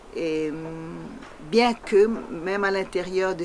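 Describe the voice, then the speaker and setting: Woman's fairly low voice with a Tahitian accent. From French Polynesia (Tahiti). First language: Tahitian (speaking French). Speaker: poet. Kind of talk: interview. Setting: interview in Paris. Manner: halting, many hesitations.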